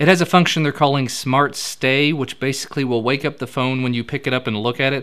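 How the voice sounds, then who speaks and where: A man with a slight Kentucky accent speaks at medium pitch. His pace is very fast, with hardly any pauses. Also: fairly even intonation. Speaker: tech news show host. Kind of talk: tech news roundup. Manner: casual, conversational.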